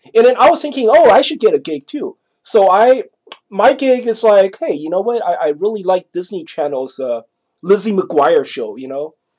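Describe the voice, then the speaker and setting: A man's high-pitched voice with very wide pitch swings. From Taiwan. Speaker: vlogger. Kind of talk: casual monologue. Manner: halting. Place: home room. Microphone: webcam.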